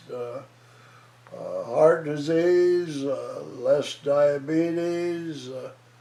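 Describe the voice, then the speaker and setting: Noticeable background noise accompanies a man talking at a very slow pace. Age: 80s+. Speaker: retired surgeon. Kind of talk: interview answer. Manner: hesitant, many filler words.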